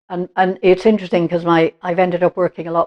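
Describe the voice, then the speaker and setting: A woman's fairly low voice with an Irish accent and monotone, flat intonation. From Ireland, Limerick. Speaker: interviewee. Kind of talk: life-story interview. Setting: at home.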